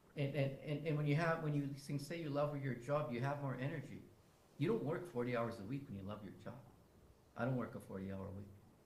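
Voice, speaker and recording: A man speaks at a fairly quick pace in an animated tone, his fairly high pitch moving with ordinary variation, amid audible room echo and noticeable background noise. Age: 60s. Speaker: First Nation chief. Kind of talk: fireside chat interview. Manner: animated, repetitive stammering.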